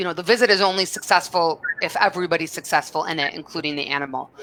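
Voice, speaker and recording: Noticeable background noise sits behind a woman with an American accent. She talks at a fairly quick pace with lively intonation. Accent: Minnesota accent, covered up professionally. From Minnesota. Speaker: program director hosting webinar. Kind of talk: live webinar moderation. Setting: live video stream.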